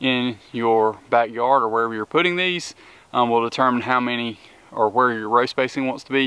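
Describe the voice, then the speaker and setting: A man speaks in a dry sound with no echo at all. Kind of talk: tutorial. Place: garden.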